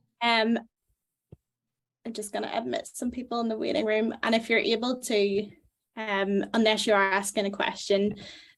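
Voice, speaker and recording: Speaking in a Northern Irish accent, a woman uses a fairly high pitch, fairly even intonation and a moderate pace. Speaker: medical student, webinar moderator. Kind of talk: event introduction. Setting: video call webinar.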